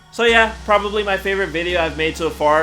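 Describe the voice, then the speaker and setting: With music in the background, someone speaks at a very fast pace with ordinary pitch variation. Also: man. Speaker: YouTuber, top 10 list creator. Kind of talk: casual Q&A monologue.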